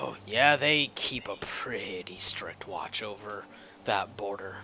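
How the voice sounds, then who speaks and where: A man speaks in a put-on character voice that sounds raspy. His pace is fairly slow, and background noise is clearly audible. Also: fairly low pitch for a man. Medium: actual play. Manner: calm, wry.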